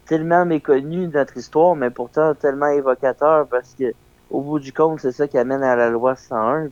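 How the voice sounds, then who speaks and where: At a moderate pace, a man speaks with fairly even intonation in a dry, close sound with no echo. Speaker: documentary filmmaker. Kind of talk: radio interview. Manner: casual, halting.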